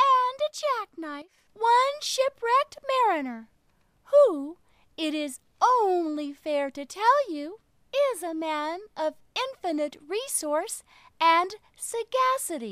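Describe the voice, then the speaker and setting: A woman uses a put-on character voice, raised and projected, at an extremely high pitch. She speaks very slowly, her pitch swinging very widely. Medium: read story.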